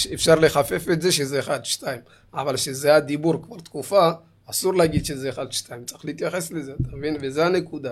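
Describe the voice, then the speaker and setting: On a very clean recording with a silent background, a man speaks in an ordinary speaking voice. His pitch is fairly high, with ordinary pitch variation. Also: moderate pace. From Israel, Ethiopian community. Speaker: cook and community show host. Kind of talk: casual chat. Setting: studio.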